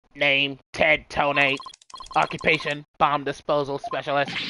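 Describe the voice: A put-on, robotic character voice at a low-to-middle pitch. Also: moderate pace.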